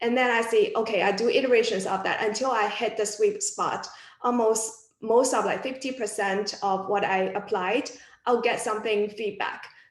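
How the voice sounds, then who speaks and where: A woman with a non-native accent speaks at a moderate pace in a fairly high voice with fairly even intonation, amid audible room echo and noticeable background noise. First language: not English. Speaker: physics alumna working in data science. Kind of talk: panel discussion. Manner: halting.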